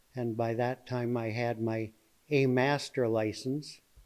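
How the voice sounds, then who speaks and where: Speaking in an Upper Midwest accent, the man has a medium pitch and a monotone, flat intonation. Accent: Upper Midwest (Minnesota). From Minnesota, near Zumbrota. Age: 70s. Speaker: retired master electrician and farmer. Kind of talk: casual interview. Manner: halting, many fillers.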